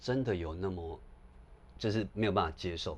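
A man speaks with a Taiwanese accent. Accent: Taiwanese Mandarin. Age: 40s. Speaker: scholar and author on Japan. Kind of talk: casual conversation.

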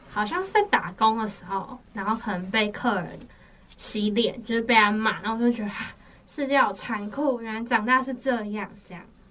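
A woman's fairly high voice at a moderate pace, with ordinary pitch variation, big swings in loudness and noticeable background noise. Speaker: university student. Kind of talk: casual chat.

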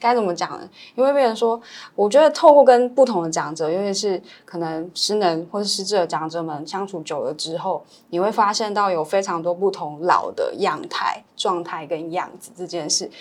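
Speaking in a normal speaking voice at a moderate pace, a woman with medium pitch uses lively intonation, with big swings in loudness. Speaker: elder care social worker. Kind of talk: casual interview chat.

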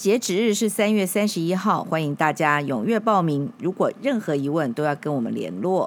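This woman's voice sits fairly low in pitch and swings very widely up and down. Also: moderate pace, hardly any pauses. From Taiwan, Kaohsiung. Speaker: podcast host, public relations veteran. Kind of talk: announcement; interview.

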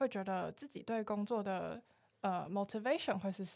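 In a very clean recording with a silent background, an unremarkable speaking voice carries ordinary pitch variation. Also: woman. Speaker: student podcast host. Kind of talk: interview.

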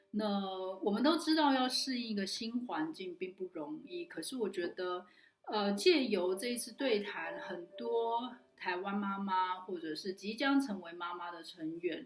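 Over noticeable background noise, a woman at a medium pitch speaks at a fairly slow pace with very wide pitch swings and big swings in loudness. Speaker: online community organizer and talk host. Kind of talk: solo recap talk to camera.

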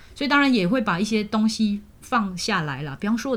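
A woman speaks at a fairly high pitch with lively intonation and a somewhat breathy quality. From Malaysia. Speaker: university language teacher and radio host. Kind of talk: casual interview.

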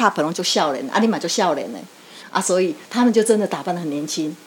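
Very fast speech from a woman at a medium pitch, full of lively intonation. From Taiwan, Yilan. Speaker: neighborhood chief and lecturer. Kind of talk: interview.

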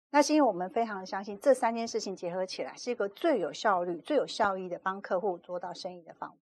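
A woman of medium pitch speaks at a very fast pace with hardly any pauses, lively intonation and big swings in loudness over a quiet background. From Taiwan, Kaohsiung. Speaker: PR agency executive and author. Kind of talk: interview.

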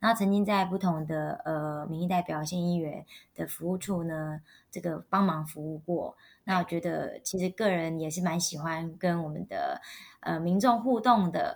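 A woman's unremarkable speaking voice, fairly low in pitch, in a very clean recording with a silent background. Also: fairly even intonation, moderate pace. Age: young. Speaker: wedding emcee and local election candidate. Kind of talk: interview.

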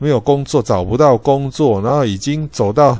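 Against a quiet background, a man with a Taiwanese accent talks at a moderate pace in a dark, mellow tone with ordinary pitch variation. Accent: Taiwanese Mandarin. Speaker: podcast host. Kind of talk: solo educational talk. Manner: frequent filler particles and self-corrections.

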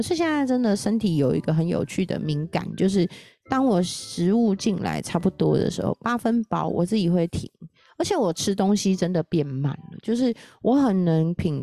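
A woman's animated, fairly slow delivery in a dry, close sound with no echo. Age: 40s. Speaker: podcast host. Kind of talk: casual solo talk about a book on nutrition.

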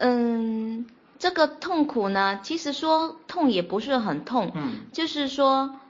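A woman talks very slowly in a high voice with lively intonation. Noticeable background noise runs behind her. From Fuzhou, Fujian, China. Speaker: podcast guest sharing life story. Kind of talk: personal testimony in interview.

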